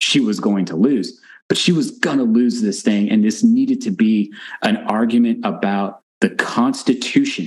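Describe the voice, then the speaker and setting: Pitch swings very widely throughout. The accent is American. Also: man. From Texas. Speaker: forensic psychologist. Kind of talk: casual interview.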